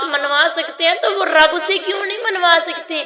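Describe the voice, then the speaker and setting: With audible room echo and noticeable background noise, a woman uses a raised, projected voice at an extremely high pitch with lively intonation. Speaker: religious teacher. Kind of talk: lecture.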